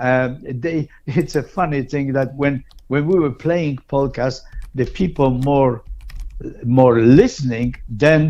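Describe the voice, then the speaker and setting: A man talks very slowly in a fairly high pitch, his pitch varying in an ordinary way. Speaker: polka musician. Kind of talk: interview. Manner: halting.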